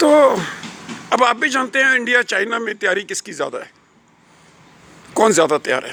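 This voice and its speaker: Noticeable background noise surrounds a man whose raised, projected voice sits at an extremely high pitch, with lively intonation and long, frequent pauses. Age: 70s. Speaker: retired academic vlogger. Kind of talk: casual monologue vlog. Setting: outdoors.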